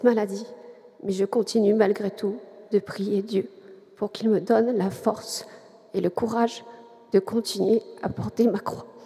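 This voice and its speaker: A woman's fairly high, monotone, flat voice at a fairly slow pace, with noticeable background noise. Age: 40s. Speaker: catechumen giving faith testimony. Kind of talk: testimony.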